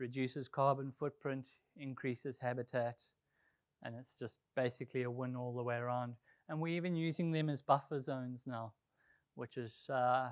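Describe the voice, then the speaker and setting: On a very clean recording with a silent background and a dry, close sound with no echo, a man with a South African accent speaks at a medium pitch with fairly even intonation. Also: moderate pace. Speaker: golf course superintendent. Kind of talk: presentation. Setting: conservation group meeting. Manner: casual, with frequent fillers.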